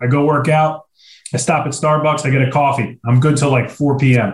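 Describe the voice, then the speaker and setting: A man talks at a moderate pace. His fairly high voice is somewhat breathy. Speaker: podcast host. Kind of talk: casual banter. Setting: video call. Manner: animated, joking.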